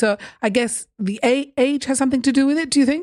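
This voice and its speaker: The woman's voice has a dark, mellow tone. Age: 50s. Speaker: podcast host. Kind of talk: interview. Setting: video call.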